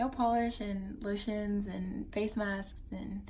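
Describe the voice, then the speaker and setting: Fairly even intonation marks a somewhat breathy voice. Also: woman. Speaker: vlogger. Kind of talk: casual vlog.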